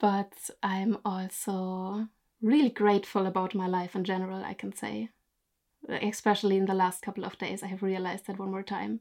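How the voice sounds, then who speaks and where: Speaking at a moderate pace in a monotone, flat intonation, a woman with a German accent and a medium-pitched voice comes through on a very clean recording with a silent background. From Germany. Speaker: YouTube storyteller and photographer. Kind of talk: casual interview.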